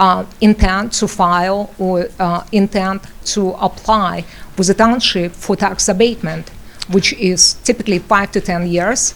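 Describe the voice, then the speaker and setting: In a non-native accent, a woman speaks fairly slowly with a medium pitch and monotone, flat intonation. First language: not English. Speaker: local resident at public hearing. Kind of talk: public comment at municipal hearing. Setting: township meeting room, microphone. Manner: halting, many fillers.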